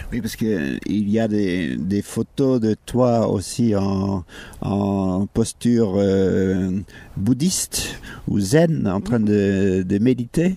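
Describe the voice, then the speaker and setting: Very slowly, a man talks in a fairly low voice with ordinary pitch variation. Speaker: radio host. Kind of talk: interview. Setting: outdoors. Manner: halting.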